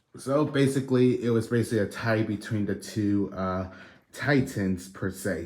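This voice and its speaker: A man at a moderate pace, fairly low in pitch, with ordinary pitch variation. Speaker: toy reviewer. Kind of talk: video review. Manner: low, quiet; hesitant, many fillers.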